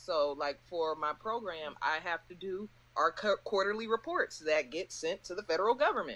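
Using lively intonation and big swings in loudness, a woman with an ordinary speaking voice talks at a moderate pace and a medium pitch. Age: young. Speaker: podcast co-host. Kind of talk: casual chat.

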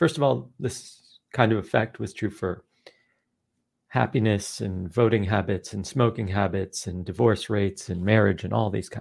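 This man has an unremarkable speaking voice, fairly low in pitch, at a moderate pace in a very clean recording with a silent background. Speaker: behavioral scientist and author. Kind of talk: casual interview.

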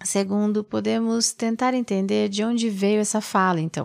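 A woman with a normal speaking voice, fairly even intonation and a moderate pace. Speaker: mindfulness meditation teacher. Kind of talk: reflective mindfulness talk.

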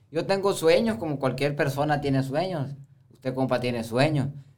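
A man speaks with a fairly high pitch and ordinary pitch variation. Audible room echo surrounds his voice. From Baviácora, Sonora, Mexico. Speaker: rancher and chiltepin grower. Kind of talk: casual conversation.

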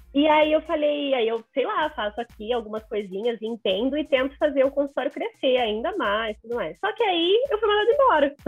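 Her voice is high and swings very widely in pitch as this woman speaks at a moderate pace with hardly any pauses. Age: 20s. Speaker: social media professional. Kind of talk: casual interview chat.

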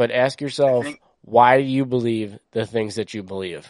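A man with an ordinary speaking voice and an American accent talks at medium pitch and a moderate pace. The sound is dry and close with no echo over a quiet background. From US East Coast. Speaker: podcast co-host. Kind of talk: casual chat.

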